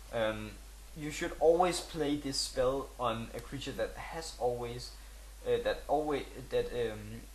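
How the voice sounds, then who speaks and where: Over noticeable background noise and audible room echo, a man with a non-native accent speaks at a very slow pace. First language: not English. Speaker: gaming video creator. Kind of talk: tutorial. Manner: halting, many fillers.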